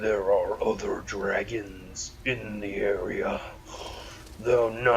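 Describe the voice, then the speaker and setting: A man puts on a gravelly character voice and speaks at a very slow pace over clear background noise. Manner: monstrous.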